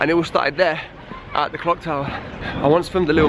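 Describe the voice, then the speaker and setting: A man with an East Midlands accent speaks at a fairly quick pace in a fairly high pitch with fairly even intonation over noticeable background noise. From Leicester, England. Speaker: busker and singer-songwriter. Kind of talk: vlog narration. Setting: in a car then walking outdoors.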